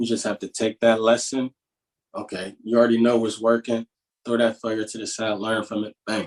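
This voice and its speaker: Speaking with a Pittsburgh accent at a fairly quick pace, a man with a medium-pitched voice keeps a monotone, flat intonation amid big swings in loudness. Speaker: positivity coach. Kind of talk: interview. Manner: casual, with many filler words.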